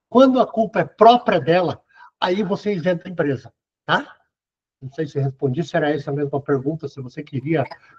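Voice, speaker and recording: Lively intonation and big swings in loudness mark this man's voice, which sits at a fairly high pitch. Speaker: lecturer on workplace accidents. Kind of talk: lecture Q&A. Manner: fast.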